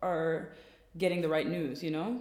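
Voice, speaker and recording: The room echo is audible. A woman talks at moderate speed. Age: 20s. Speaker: stylist. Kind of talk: casual chat.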